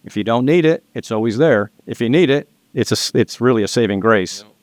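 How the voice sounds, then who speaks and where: A man's medium-pitched voice comes through with a dry, close sound, no echo and a quiet background. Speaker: loan and business finance advisor. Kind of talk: casual podcast interview. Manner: fast.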